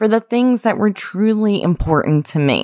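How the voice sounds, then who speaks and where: This voice moves through lively intonation with an Appalachian accent. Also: woman. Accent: Appalachian American. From West Virginia, US. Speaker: podcast host, engineer. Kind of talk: scripted-style solo podcast intro, motivational.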